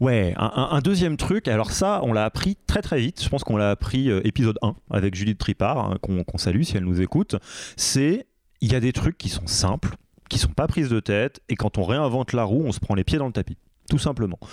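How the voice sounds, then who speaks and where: A man's medium-pitched voice at a fairly quick pace, lively intonation and very even loudness, with a dry, close sound, no echo and a very clean recording with a silent background. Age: 30s. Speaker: podcast host and leadership coach. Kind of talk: casual interview chat. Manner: hesitant, many filler words.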